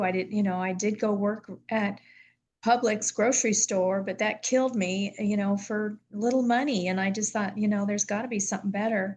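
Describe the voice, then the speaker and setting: A woman's somewhat breathy, medium-pitched voice at a moderate pace against a quiet background. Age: 70s. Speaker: former business owner. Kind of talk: testimony.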